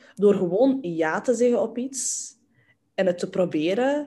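Somewhat breathy and dark, mellow in tone, a woman talks at a fairly high pitch and a fairly slow pace with ordinary pitch variation over a quiet background. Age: 20s. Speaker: entrepreneur in inclusive communication. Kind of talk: casual chat. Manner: energetic, enthusiastic.

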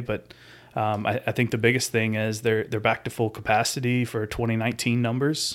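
Speaking fast-ish, a man with a Southern US accent holds a medium pitch in a monotone, flat intonation at a fairly quick pace. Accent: Southern US (Georgia). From US South, rural Georgia. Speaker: airport construction project manager. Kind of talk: casual chat.

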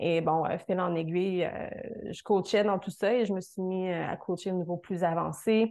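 A woman with a Quebec accent, a dark, mellow tone, medium pitch, fairly even intonation and a fairly slow pace. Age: 30s. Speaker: fitness coach. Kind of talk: interview.

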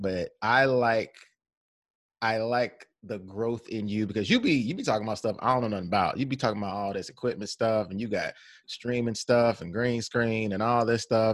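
A man with a normal speaking voice, medium in pitch, at a moderate pace, his intonation fairly even. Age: 30s. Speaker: podcast host. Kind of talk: casual chat.

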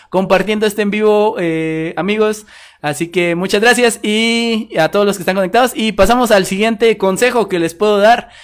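Here a man speaks with a high pitch, ordinary pitch variation and a moderate pace. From Guatemala. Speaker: podcast host. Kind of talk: casual chat. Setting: live stream.

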